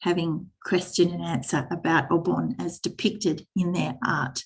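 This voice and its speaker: With a fairly low pitch and vocal fry, a woman speaks at a fairly slow pace. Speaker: teacher trainer. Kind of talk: online workshop presentation.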